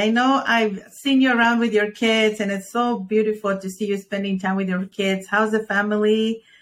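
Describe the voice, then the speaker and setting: Here a woman speaks at a fairly quick pace. She has a plain, everyday voice. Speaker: podcast host. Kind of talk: interview.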